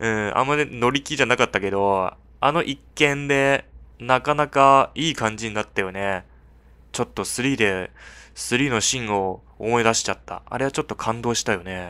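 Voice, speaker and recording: Medium in pitch with ordinary variation, the man's voice has a bright, sharp tone. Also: moderate pace, very clean recording, silent background. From China. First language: Chinese (speaking Japanese). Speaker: gaming YouTuber. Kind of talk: game commentary with dialogue read aloud. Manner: animated, frequent laughter.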